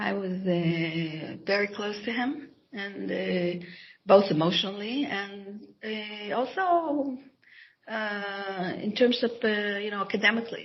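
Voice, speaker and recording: A woman speaks with an Israeli accent at a very slow pace. Her voice is somewhat breathy, with audible room echo. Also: medium pitch for a woman, ordinary pitch variation. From Israel (Jerusalem). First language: Hebrew. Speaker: author and scholar. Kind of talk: interview. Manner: halting, many false starts.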